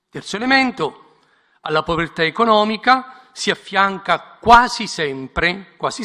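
With a bright, sharp tone, a man projects a raised voice at a moderate pace, his intonation lively. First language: Italian. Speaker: bishop. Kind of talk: prepared speech.

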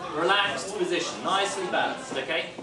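Crowd noise fills the background, and audible room echo surrounds the recording. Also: man. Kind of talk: instructional workshop talk. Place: cafe. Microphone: camera far.

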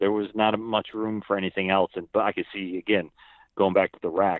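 With a plain, everyday voice, a man speaks at a fairly quick pace in a fairly low pitch. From northeast Pennsylvania near Binghamton, New York. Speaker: motorcycle technician, car owner. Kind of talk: casual interview.

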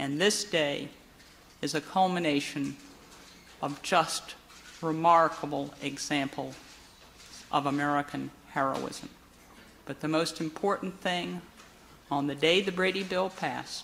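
A woman speaks at a very deep, low pitch with vocal fry and ordinary pitch variation. Her pace is fairly slow with long, frequent pauses, over light background noise. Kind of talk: formal ceremonial speech. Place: hall. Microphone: podium.

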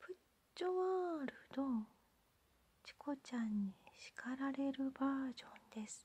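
Whispering in a gentle tone, someone speaks at a fairly slow pace with long, frequent pauses. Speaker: ASMR channel host. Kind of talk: soft-spoken ASMR candy unboxing talk. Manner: whispered, gentle. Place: home room.

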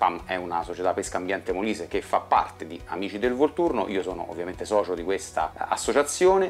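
Over faint background music, a man talks at a very fast pace with hardly any pauses. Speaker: fishing channel host. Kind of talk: casual vlog intro. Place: home room. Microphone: lapel.

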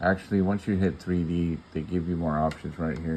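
The speech runs at a moderate pace over light background noise. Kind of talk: tutorial. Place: home room. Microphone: phone near.

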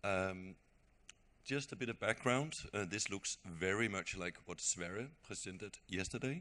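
A man speaks at a fairly slow pace in a fairly low voice. His tone is bright and sharp, with ordinary pitch variation. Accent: Danish. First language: Danish. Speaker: railway program speaker. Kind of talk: conference presentation.

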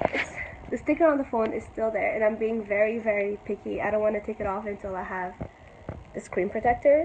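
Against noticeable background noise, this woman's pitch shifts in an ordinary way. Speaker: vlogger. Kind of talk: casual vlog chat. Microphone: phone near.

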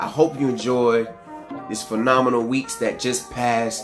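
Clear music plays in the background. A man talks over it at a moderate pace. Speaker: hair care vlogger. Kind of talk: casual vlog chat. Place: home room.

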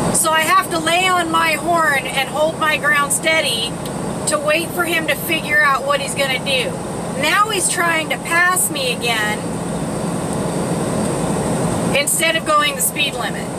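A woman at a fairly slow pace with ordinary pitch variation and long, frequent pauses, amid loud background noise. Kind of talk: casual vlog chat. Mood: annoyed at other driver. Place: car. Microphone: phone near.

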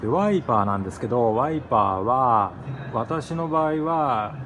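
This is a man speaking. Noticeable background noise can be heard. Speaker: former freight train driver. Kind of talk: casual talk to camera. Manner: fast. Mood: nostalgic, enthusiastic. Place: hall. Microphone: phone near.

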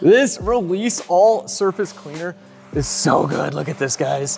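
Faint music sits in the background as a man speaks at a fairly slow pace. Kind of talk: casual workshop commentary. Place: garage. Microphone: lapel.

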